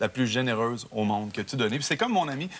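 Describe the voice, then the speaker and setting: A man with a Quebec accent speaks very fast at a medium pitch. Noticeable background noise runs underneath. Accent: Québécois French. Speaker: singer. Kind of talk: TV talk show interview. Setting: TV studio.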